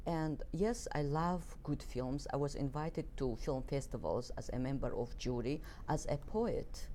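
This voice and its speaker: A woman speaks with a very deep, low pitch and a dark, mellow tone at a fairly slow pace. Her loudness stays very even, and there is audible room echo. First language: Circassian (Kabardian). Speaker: poet. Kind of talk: interview. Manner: halting.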